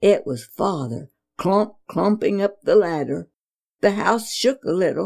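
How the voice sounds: Quiet background under a natural reading voice with lively, bouncing intonation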